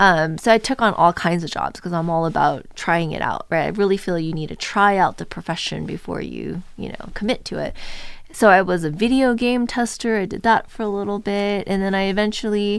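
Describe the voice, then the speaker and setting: Speaking at a fairly quick pace in a Californian accent, a woman with a medium pitch shows ordinary pitch variation and big swings in loudness. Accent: Californian American. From Southern California, Orange County. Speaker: assistant professor. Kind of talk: casual interview.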